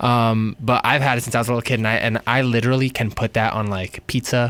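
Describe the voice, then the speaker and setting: A man with a New York accent talks very fast in a flat monotone at medium pitch, his loudness very even, on a very clean recording with a silent background. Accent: New York American. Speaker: singer. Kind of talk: casual interview.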